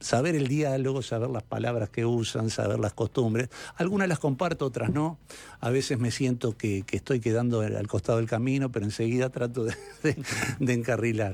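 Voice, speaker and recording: A man speaks with a Uruguayan accent at a fairly quick pace. His pitch is medium, with ordinary pitch variation. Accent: Uruguayan Spanish (Rioplatense). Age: 60s. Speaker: sports director, former coach. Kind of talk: radio interview.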